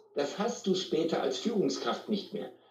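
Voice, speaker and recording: The man's delivery is fairly slow. Audible room echo hangs around the words. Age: 40s. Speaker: sales trainer and speaker. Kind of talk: interview.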